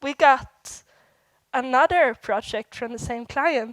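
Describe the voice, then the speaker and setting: Speaking in a Swedish accent, a woman with a high-pitched voice moves at a fairly slow pace, with a dry, close sound and no echo. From Sweden. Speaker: software developer, conference speaker. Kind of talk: conference talk. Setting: stage with audience.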